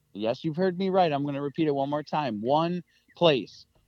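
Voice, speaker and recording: This man has an ordinary speaking voice, fairly high in pitch, with an American accent. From central Michigan. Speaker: hunter and hunting video producer. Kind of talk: casual interview chat.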